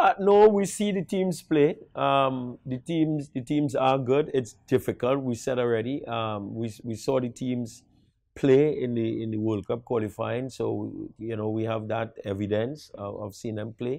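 With a Trinidadian accent, a man speaks at a fairly slow pace with hardly any pauses, over a quiet background and a dry sound with no echo. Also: medium pitch for a man. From Trinidad and Tobago. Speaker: national football coach. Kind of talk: interview. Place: studio. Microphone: lapel.

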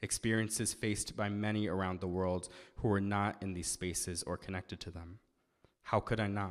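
Against a quiet background, a man with an American accent speaks in a monotone, flat intonation. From Massachusetts. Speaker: spoken word poet and activist; spoken word poet. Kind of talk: sermon with spoken word poetry. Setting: synagogue service with live audience. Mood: earnest, serious. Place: church. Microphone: podium.

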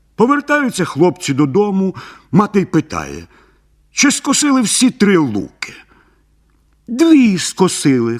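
Using a put-on character voice, a man speaks high for a man at a fairly slow pace, with very wide pitch swings and long, frequent pauses. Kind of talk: bedtime story. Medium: read story. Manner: even, unhurried.

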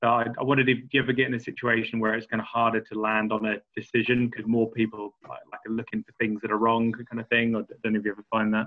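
A man with a medium-pitched voice talks at a very fast pace in a flat monotone, his loudness swinging widely against a quiet background. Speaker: audience member. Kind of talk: casual chat. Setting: video call. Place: home room. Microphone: video call.

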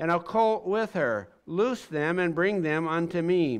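Against a quiet background, a man talks at a fairly slow pace in a high pitch with ordinary pitch variation. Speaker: pastor. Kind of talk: scripture reading. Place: church.

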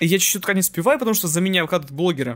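This man speaks at a high pitch. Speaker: movie news youtuber. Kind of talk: scripted narration; casual talk to viewers.

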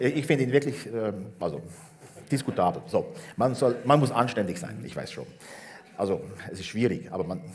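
A man speaks at a moderate pace with lively intonation, big swings in loudness and long, frequent pauses over light background noise. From Switzerland, Bernese Oberland; Switzerland. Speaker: education professor; guest. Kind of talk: public talk on stage. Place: hall. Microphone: headset.

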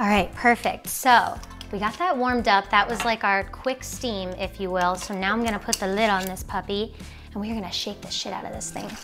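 A woman at a fairly quick pace with fairly even intonation, clear music in the background. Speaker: cooking show host. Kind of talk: casual cooking tutorial chat. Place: kitchen. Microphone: lapel.

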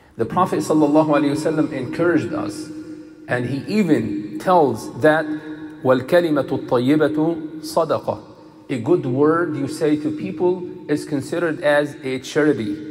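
A man's voice with ordinary pitch variation and faint music in the background. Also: moderate pace. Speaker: imam. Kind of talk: sermon. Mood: calm, gentle. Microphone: headset.

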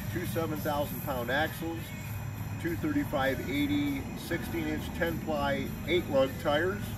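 A man's voice is heard. There is music behind him. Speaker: trailer salesman. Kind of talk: product walkaround presentation. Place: street.

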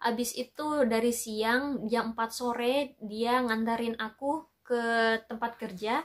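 Against a quiet background, a woman speaks very slowly at a fairly high pitch. Her intonation is fairly even and her loudness stays very even. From Makassar, Indonesia; Indonesia. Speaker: vlogger. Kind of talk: casual storytelling vlog. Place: home room. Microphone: camera far.

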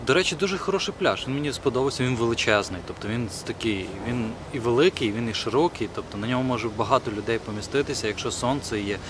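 A man's medium-pitched voice at a very fast pace with lively intonation, dry with no echo, over noticeable background noise. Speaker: vlogger. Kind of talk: casual vlog. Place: forest.

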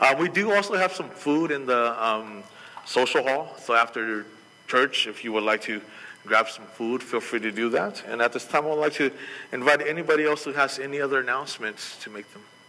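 Here a man speaks at a fairly quick pace. His loudness swings a lot. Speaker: pastor. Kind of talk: church announcements. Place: church.

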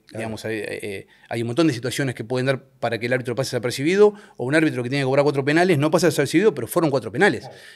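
A man speaks in an Argentine accent with ordinary pitch variation. The background is quiet. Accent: Rioplatense Argentine Spanish. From Argentina, La Plata; Argentina. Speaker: football referee; guest. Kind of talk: casual interview chat. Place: studio. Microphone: studio mic.

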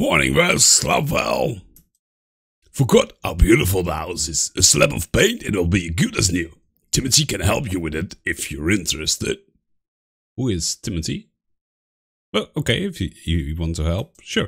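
A man's put-on character voice with a very deep, low pitch, moderate pace and long, frequent pauses. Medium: role play.

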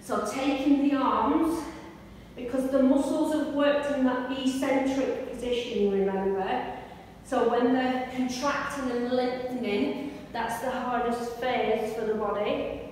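A woman's high voice, fairly slow and fairly even in intonation, with strong room echo and light background noise. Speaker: fitness instructor. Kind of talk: exercise class instruction. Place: gym. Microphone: camera far.

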